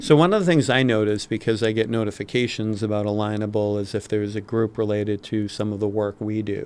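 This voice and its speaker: A man with a Massachusetts accent, fairly low in pitch, at a fairly quick pace with fairly even intonation. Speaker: podcast co-host. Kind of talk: casual podcast chat.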